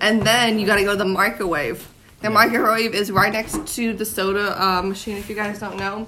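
A woman at a fairly quick pace, with fairly even intonation and noticeable background noise. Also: medium pitch for a woman. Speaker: podcast host. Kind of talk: casual chat. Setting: Airbnb in London.

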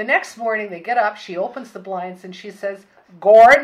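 A woman speaks with a Canadian accent. Her pitch is fairly high. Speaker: former resort owner's daughter. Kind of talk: elder telling life stories, fond reminiscence about a family-run 1950s summer lodge. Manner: wry, anecdotal storyteller delivering a punchline; detailed, matter-of-fact recall.

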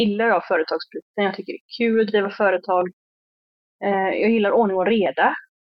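A woman at a medium pitch speaks at a moderate pace with fairly even intonation in an unremarkable speaking voice. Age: 30s. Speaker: hairdresser and salon owner. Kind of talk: interview.

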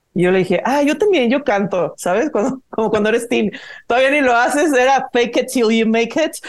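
At a fairly quick pace, a woman speaks in a high pitch with lively intonation and very even loudness. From Mexico, Guadalajara. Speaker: singer-songwriter and producer. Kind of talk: casual interview chat.

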